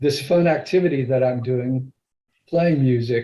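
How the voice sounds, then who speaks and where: A man's somewhat breathy voice with a dark, mellow tone, medium pitch, ordinary pitch variation and a fairly slow pace. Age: 70s. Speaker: Toastmasters club member giving a speech. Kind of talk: prepared speech.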